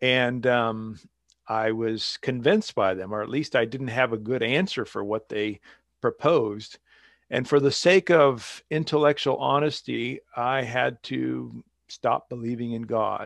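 Speaking with an American accent, a man with an unremarkable speaking voice talks at a fairly slow pace and medium pitch with ordinary pitch variation. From US Pacific Northwest, eastern Washington. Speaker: author and theologian. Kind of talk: interview.

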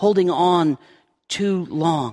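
A man's high-pitched voice, with a dry, close sound and no echo. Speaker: pastor. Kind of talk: sermon. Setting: church. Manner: loud.

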